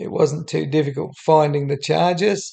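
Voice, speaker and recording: A man with an Australian accent speaks at a fairly slow pace in a fairly high voice for a man, his tone dark and mellow and somewhat breathy. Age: 70s. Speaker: YouTuber. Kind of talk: unscripted narration over screen. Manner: halting with many fillers.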